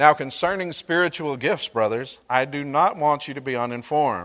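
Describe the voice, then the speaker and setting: Speech with a Mississippi accent, a fairly slow pace, and ordinary pitch variation. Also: man. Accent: Southern US (Mississippi). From US South. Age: 40s. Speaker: pastor. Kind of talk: sermon.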